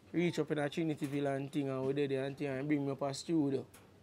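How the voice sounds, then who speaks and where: A man with a strong Jamaican accent at a fairly quick pace. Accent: strong Jamaican patois. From Kingston, Jamaica. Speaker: reggae artist. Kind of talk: casual interview. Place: studio. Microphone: lapel.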